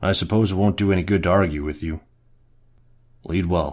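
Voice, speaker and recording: In a raspy put-on character voice, a man speaks at a fairly quick pace with a very deep, low pitch. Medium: audio drama. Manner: commanding, dignified.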